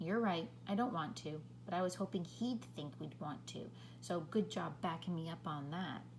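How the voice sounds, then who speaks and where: A woman's put-on character voice at a moderate pace, with loud background noise and hissing. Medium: read story. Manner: blunt, hissing.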